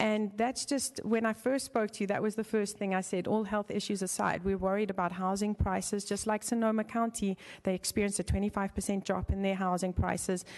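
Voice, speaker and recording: With a South African accent, a woman speaks at medium pitch and a fairly quick pace, in monotone, flat intonation with hardly any pauses. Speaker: member of the public giving comment. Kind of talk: public comment at city council meeting. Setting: city council chamber. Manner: halting, with many fillers.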